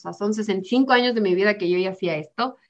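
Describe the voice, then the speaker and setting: A woman's normal speaking voice, fairly high in pitch, with ordinary pitch variation, a fairly quick pace and a quiet background. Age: 20s. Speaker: psychologist working in youth entrepreneurship education. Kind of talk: interview conversation.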